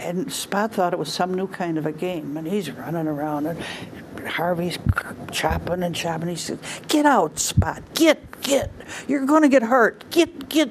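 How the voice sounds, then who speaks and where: Noticeable background noise sits behind a woman who speaks fairly slowly, her pitch swinging very widely. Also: medium pitch for a woman. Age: 80s+. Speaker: storyteller. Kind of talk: storytelling.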